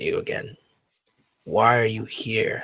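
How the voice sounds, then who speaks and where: A man puts on a raspy character voice. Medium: actual play. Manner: intense, contemptuous.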